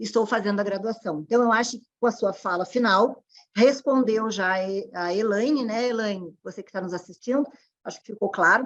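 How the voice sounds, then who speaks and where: A woman speaks with fairly high pitch and ordinary pitch variation. Her loudness swings widely. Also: moderate pace. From southern Brazil (Rio Grande do Sul). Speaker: panel moderator. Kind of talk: online panel moderation. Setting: online event.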